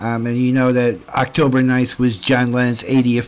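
The tone is warm and enthusiastic at a moderate pace. Background noise is noticeable. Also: man. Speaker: radio host. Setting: live radio studio. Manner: chatty, warm, enthusiastic fan; slightly rambling, stumbling over words.

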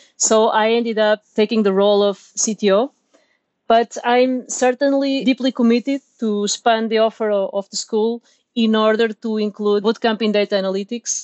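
A woman's fairly high pitch with fairly even intonation at a moderate pace. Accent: Portuguese. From Portugal, Lisbon. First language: Portuguese. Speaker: software engineer and meetup organizer. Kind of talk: casual interview. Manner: halting, repeats words.

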